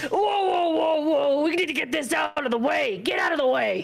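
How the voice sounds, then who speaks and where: A woman does a put-on character voice at a high pitch with lively intonation and very even loudness. She keeps a moderate pace over light background noise. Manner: urgent, shouting, gruff.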